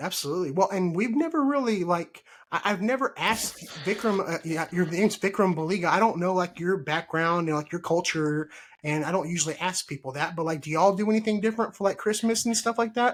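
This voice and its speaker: A man with a Texan accent, high-pitched for a man, ordinary pitch variation, and a very fast pace. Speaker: podcast host. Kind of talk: casual chat. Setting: live stream.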